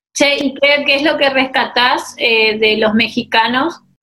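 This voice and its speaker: A normal speaking voice from a woman, fairly slow, with fairly even intonation. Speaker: interviewer host. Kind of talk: casual interview. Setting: video call.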